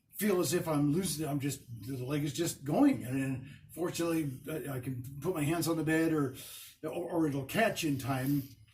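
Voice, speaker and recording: Fairly even intonation with audible room echo. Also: man, fairly high pitch for a man, moderate pace. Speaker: stroke survivor vlogger. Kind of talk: personal video diary. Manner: stuttering, halting.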